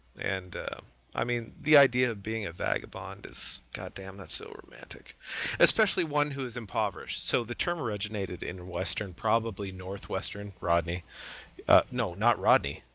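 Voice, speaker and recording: A man's fairly low voice, bright and sharp in tone, at a moderate pace, with ordinary pitch variation and big swings in loudness. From Canada. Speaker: sim racing podcast co-host. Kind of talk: casual chat.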